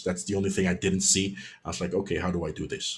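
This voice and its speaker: Music plays in the background. Over it, a man speaks at a fairly low pitch. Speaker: web developer presenting a tutorial webinar. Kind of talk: webinar Q&A. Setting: online webinar. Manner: fast; animated.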